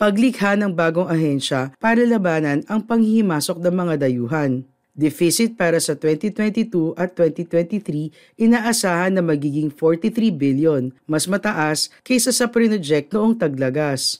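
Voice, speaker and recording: On a very clean recording with a silent background, a man with a high pitch speaks at a fairly slow pace with lively intonation and hardly any pauses. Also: very even loudness. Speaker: news presenter. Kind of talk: formal newsreading, steady studio-style delivery of budget figures and statements. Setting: studio. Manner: formal; measured, even-paced, neutral and businesslike with little emotional color.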